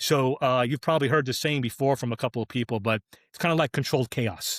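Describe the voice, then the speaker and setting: A man with an American accent talks at a very fast pace in a medium pitch. The sound is dry and close with no echo, on a very clean recording with a silent background. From New York area, US Northeast. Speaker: drag racing clutch specialist. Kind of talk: casual podcast chat.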